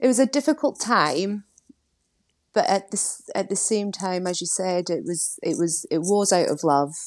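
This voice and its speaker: Against a quiet background, the speaker talks at a very slow pace with lively intonation. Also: woman. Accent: Scottish. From Scotland. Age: 30s. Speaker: weight loss story guest, marketing executive. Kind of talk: interview, personal testimony.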